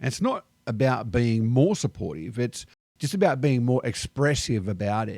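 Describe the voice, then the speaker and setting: In an Australian accent, a man with a medium pitch and ordinary pitch variation speaks at a moderate pace, the sound dry and close with no echo on a very clean recording with a silent background. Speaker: expat vlogger. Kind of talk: casual vlog monologue.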